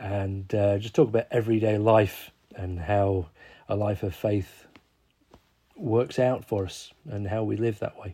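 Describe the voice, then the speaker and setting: His tone dark and mellow, a man talks somewhat breathily at a fairly low pitch with fairly even intonation. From Warrington, northern England. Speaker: church officer and musician. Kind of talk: casual interview.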